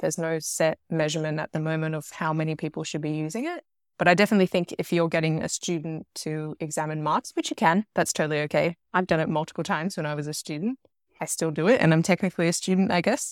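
Dry and close with no echo, a woman's fairly low voice races along at a very fast pace in an Australian accent with fairly even intonation. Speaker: PhD researcher in forensic science. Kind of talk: interview. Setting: remote call.

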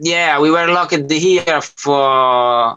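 With an Italian accent, a man speaks at a fairly high pitch and with ordinary pitch variation. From Italy. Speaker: music producer and DJ. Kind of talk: casual interview chat. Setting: video call from studio.

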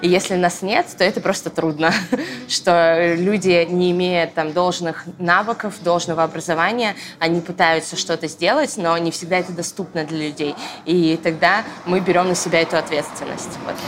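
Noticeable background noise sits behind a woman's voice. She speaks at a fairly low pitch with fairly even intonation. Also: moderate pace. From Moscow region, Russia. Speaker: church media team leader. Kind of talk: casual chat. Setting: coffee shop.

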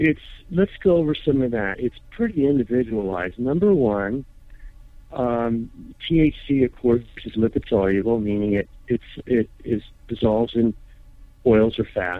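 Lively intonation marks this man's speech. His pitch sits at a medium level. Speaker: cannabis safety expert. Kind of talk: interview. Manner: hesitant, filler-heavy.

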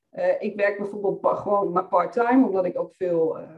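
Talking at a moderate speed, a woman has an ordinary speaking voice with a fairly high pitch. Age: 30s. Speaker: financial coach for women entrepreneurs. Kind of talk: podcast interview.

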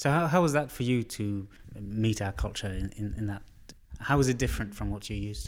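Lively intonation and a fairly quick pace shape an unremarkable speaking voice. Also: man, fairly low pitch for a man. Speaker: podcast host. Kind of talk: casual interview. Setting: studio.

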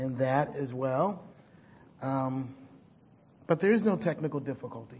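The speech moves at a moderate pace and sounds somewhat breathy. Echo from the room can be heard. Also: man. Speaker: pastor. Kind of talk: sermon.

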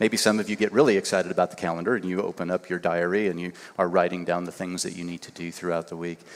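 With hardly any pauses, a man speaks at a very fast pace in a very deep, low pitch, his intonation fairly even and his loudness swinging widely. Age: 50s. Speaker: guest preacher and university teacher. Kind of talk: sermon. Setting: church service.

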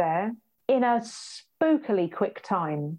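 A woman with a British accent and very wide pitch swings. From UK. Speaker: patient telling a hospital story. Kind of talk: casual conversation.

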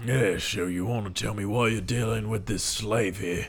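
The man puts on a character voice. He speaks at a moderate pace. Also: fairly low pitch for a man. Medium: actual play. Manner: flowery, smooth-talking.

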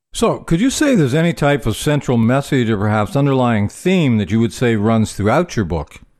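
A man with a normal speaking voice talks fairly quickly at a medium pitch with lively intonation, hardly any pauses, and very even loudness. The recording is very clean, with a silent background. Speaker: podcast host. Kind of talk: interview.

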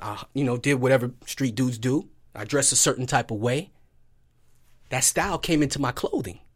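A man talks at a fairly quick pace and a medium pitch. His pitch variation is ordinary. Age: 30s. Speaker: gym owner and fitness trainer. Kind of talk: casual chat. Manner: animated.

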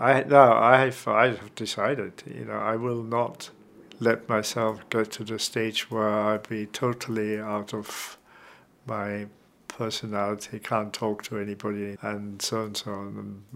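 Talking at a fairly slow pace with an Austrian accent, a man keeps a fairly low pitch and monotone, flat intonation while his loudness swings widely. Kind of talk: interview about personal experience. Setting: at home. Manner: halting, searching for words.

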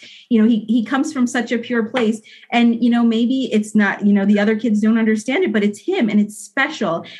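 A woman with a fairly high, somewhat breathy voice talks at a fairly quick pace with ordinary pitch variation. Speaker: mother, guest. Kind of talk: casual conversation. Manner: halting, repeats words.

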